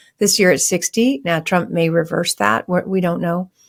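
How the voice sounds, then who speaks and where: In a very clean recording with a silent background, a woman talks at a moderate pace and a medium pitch. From US West Coast, San Francisco Bay Area. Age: 60s. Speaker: real estate investor. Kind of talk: podcast interview.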